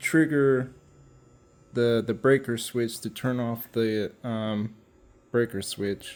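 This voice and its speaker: Mumbling at a very slow pace with long, frequent pauses, a man speaks at a medium pitch with fairly even intonation. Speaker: car restoration hobbyist. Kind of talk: workshop vlog. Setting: cold garage shop. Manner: halting. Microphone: muffled by face mask.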